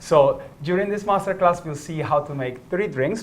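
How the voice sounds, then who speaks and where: A man speaks in an animated tone with a slight Italian accent and ordinary pitch variation. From northern Italy. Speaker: gin brand ambassador. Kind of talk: product masterclass.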